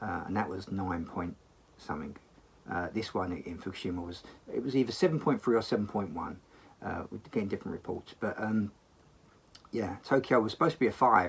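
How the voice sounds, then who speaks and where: A man speaks at a fairly quick pace with a fairly low, somewhat breathy voice. His intonation is lively, broken by long, frequent pauses. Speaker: sword craftsman and vlogger. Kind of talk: casual vlog. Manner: halting, many fillers.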